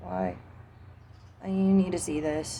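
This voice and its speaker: A woman with an American accent speaks with audible room echo. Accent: southern US accent, stronger when angry. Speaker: vlogger. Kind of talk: casual monologue vlog. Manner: casual, profane.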